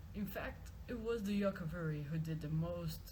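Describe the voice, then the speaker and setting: Over noticeable background noise, the speaker goes at a moderate pace. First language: not English. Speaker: video game lore reader. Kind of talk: reading aloud. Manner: halting, repeats words.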